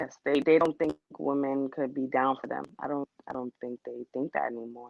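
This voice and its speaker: Soft-spoken and flat, a woman talks in a monotone at a moderate pace with a very deep, low pitch. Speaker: guest in dating discussion. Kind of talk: casual chat.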